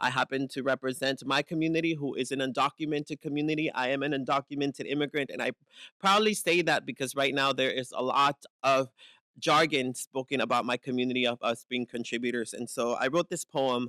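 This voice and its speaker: Speaking at a fairly quick pace, a man with a fairly high, bright, sharp voice and fairly even intonation is heard in a very clean, dry, close recording with no echo and a silent background. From Eastside San Jose, California (born in Mexico). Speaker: poet. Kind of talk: spoken word poetry and speech.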